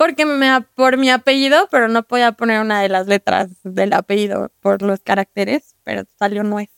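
With ordinary pitch variation and a moderate pace, this is a normal speaking voice. The sound is dry and close, without any echo. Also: woman, fairly high pitch for a woman. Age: 20s. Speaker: adult content creator. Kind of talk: casual chat.

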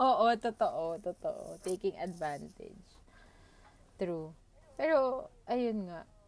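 Speaking at a very slow pace with long, frequent pauses, a woman with a fairly high pitch makes very wide pitch swings. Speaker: podcast co-host. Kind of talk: casual chat.

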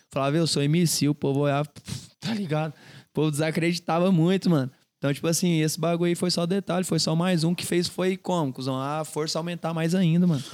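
In a very clean recording over a silent background, a man talks at a fairly quick pace in a normal speaking voice, fairly high-pitched for a man, with fairly even intonation. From Goiânia, Brazil. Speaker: funk singer. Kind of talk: casual chat.

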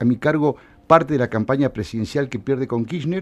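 This man's pitch sits fairly high. His intonation is lively. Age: 50s. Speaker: political figure and former campaign adviser. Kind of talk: radio interview. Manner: halting.

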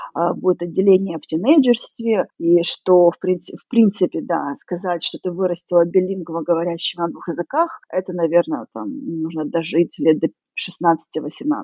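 A woman's ordinary speaking voice at medium pitch and a moderate pace, with lively intonation. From Russia. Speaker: emigrant. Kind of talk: interview.

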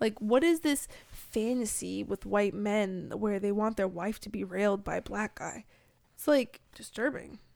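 Here a woman has a plain, everyday voice with ordinary pitch variation. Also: medium pitch for a woman. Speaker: guest. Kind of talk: casual comedic chat. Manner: sarcastic, joking, quick-witted.

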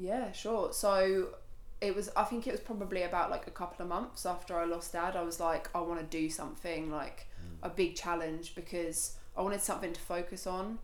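A woman with a Suffolk accent at a fairly quick pace, fairly even intonation, audible room echo and noticeable background noise. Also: medium pitch for a woman. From Suffolk, eastern England (Felixstowe and Shotley). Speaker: charity walker, graphic designer. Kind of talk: casual interview.

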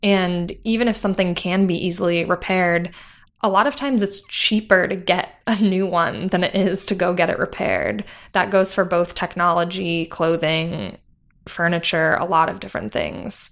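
A woman with an American accent and an ordinary speaking voice, medium-pitched, at a moderate pace with ordinary pitch variation, on a very clean recording with a silent background. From US suburbs. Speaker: operations worker, environmental studies graduate. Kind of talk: casual interview.

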